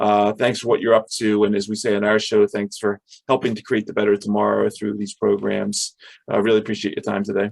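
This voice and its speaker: A man with a medium pitch has an unremarkable speaking voice. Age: 50s. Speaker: podcast host. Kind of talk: interview.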